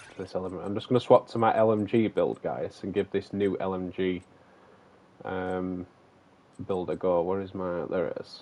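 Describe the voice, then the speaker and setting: A man with a very deep, low voice in a strong Manchester accent, moderate pace, fairly even intonation, and long, frequent pauses. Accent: broad Manchester. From northern England, Manchester. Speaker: gaming streamer. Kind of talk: live stream gameplay chat. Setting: live stream. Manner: talkative.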